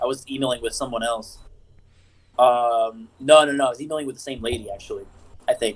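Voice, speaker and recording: A medium-pitched man in a Puerto Rican accent talks at a fairly quick pace, broken by long, frequent pauses. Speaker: podcast co-host. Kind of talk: casual chat. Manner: animated.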